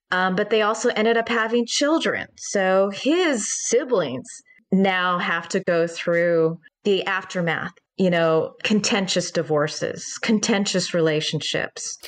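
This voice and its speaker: A woman with a normal speaking voice and medium pitch talks at a fairly slow pace with lively intonation. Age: 40s. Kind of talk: interview.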